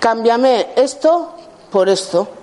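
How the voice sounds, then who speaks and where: A woman's voice with very wide pitch swings against noticeable background noise. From Basque Country, Spain (Gipuzkoa). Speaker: healing therapist. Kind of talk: workshop talk. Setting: room with live audience. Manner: halting.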